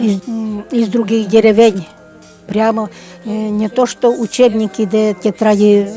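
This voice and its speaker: A woman's fairly high voice at a fairly slow pace, with music in the background. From Udmurt village, Udmurtia, Russia. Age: old. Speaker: village resident. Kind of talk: ethnographic interview, recollections.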